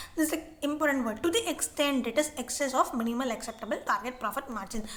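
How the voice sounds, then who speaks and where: Noticeable background noise accompanies a woman who talks very fast. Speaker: online tutor. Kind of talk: tutorial. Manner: halting.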